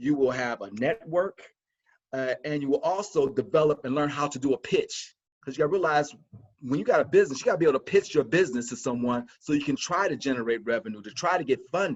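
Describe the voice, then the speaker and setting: Animated in tone, a man speaks at a fairly quick pace with a fairly high pitch. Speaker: college instructor. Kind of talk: webinar presentation. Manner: fast.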